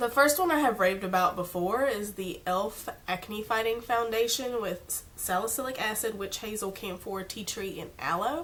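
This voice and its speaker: A woman's fairly high pitch with ordinary variation at a moderate pace, hardly any pauses, over noticeable background noise. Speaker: beauty vlogger. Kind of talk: casual product review. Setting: home filming in natural light. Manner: casual, chatty.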